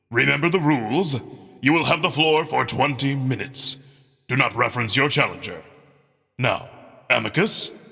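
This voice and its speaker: A man's put-on character voice, fairly high in pitch, with long, frequent pauses. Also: moderate pace. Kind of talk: ceremonial oration. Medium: read story. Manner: formal, measured, authoritative.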